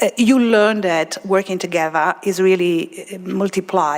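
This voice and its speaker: A woman with an Italian accent speaks at a medium pitch over noticeable background noise. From Italy. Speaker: particle physicist. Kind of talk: panel discussion. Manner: halting, many fillers.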